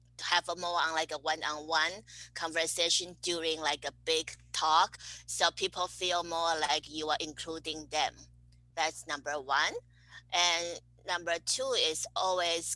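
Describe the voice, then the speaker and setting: A woman's bright, sharp tone at a very deep, low pitch, fairly slow and monotone with flat intonation. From Taiwan. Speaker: cosmetic chemist. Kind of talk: interview. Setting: podcast interview.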